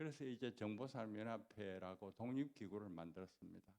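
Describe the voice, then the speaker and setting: A man's voice at a fairly low pitch. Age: 90s. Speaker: honorary chairman of an industry federation. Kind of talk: anniversary event interview, reminiscing. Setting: stage with audience.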